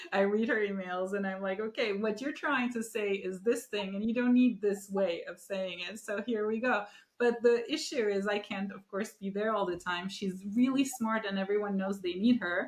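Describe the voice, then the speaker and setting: A woman with a Turkish accent talks at a medium pitch with ordinary pitch variation. Her pace is moderate, with hardly any pauses. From Turkey. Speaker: podcast host. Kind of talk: interview.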